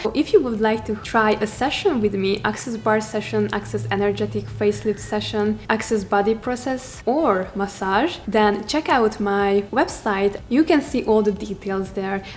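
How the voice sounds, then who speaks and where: With a Hungarian accent, a woman talks at a moderate pace in a medium pitch, using ordinary pitch variation and hardly any pauses, over noticeable background noise. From Hungary. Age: 20s. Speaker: self-development coach. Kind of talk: vlog monologue.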